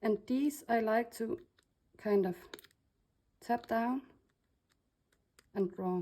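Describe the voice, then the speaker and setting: With a Danish accent and a dark, mellow tone, a woman speaks at a very slow pace with ordinary pitch variation. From Denmark. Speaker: crafter / laser designer. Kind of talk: tutorial. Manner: casual, with hesitations.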